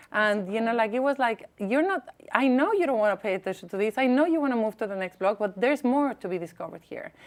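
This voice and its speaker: With lively intonation, the speaker rushes at a very fast pace with hardly any pauses over noticeable background noise. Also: woman, fairly high pitch for a woman. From Mexico. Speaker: advocate and former diplomat. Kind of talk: interview. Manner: loud.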